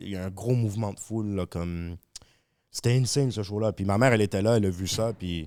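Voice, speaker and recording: A man talks at a very fast pace with a Montreal accent, his pitch fairly low and his tone dark and mellow. Intonation stays fairly even, and the recording is very clean with a silent background. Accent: Montreal Québécois accent, softer. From Quebec, Montreal. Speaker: rapper. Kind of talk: casual chat.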